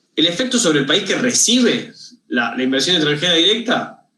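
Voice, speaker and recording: Heard with audible room echo, the voice has a bright, sharp tone and lively intonation at a fairly quick pace. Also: man. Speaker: university lecturer. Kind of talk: lecture. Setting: video call. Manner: fast; halting, many repetitions.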